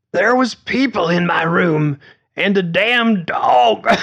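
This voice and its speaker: Using a put-on character voice, a man speaks at a fairly slow pace in a high pitch with lively intonation. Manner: upset, confused.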